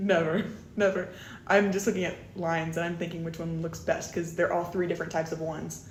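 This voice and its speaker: A woman's fairly low voice with an American accent at a fairly quick pace, amid noticeable background noise and audible room echo. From US South, Tennessee. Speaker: student election candidate. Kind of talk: interview. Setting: studio. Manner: loud; animated.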